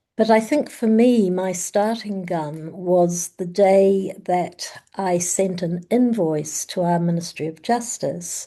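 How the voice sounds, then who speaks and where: In a quiet background, a woman's dark, mellow tone unfolds at a very slow pace with hardly any pauses and ordinary pitch variation. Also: medium pitch for a woman. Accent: New Zealand. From New Zealand. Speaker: family therapist. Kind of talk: panel discussion.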